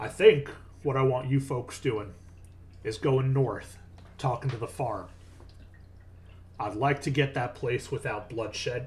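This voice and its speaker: A man does a gruff, raspy put-on character voice at medium pitch and a fairly slow pace. Long, frequent pauses break it up, and there is clear background noise. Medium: actual play. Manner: blunt, bossy.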